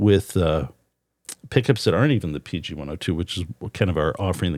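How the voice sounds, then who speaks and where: On a very clean recording with a silent background, a man speaks very fast. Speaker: guitar pickup maker and podcast host. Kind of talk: casual podcast chat. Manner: stammering, halting.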